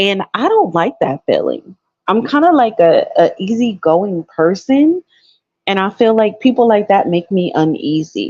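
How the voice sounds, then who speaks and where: Loud and fairly slow, a woman's fairly high voice carries a dark, mellow tone and very wide pitch swings, with a dry, close sound and no echo. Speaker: caller. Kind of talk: casual chat.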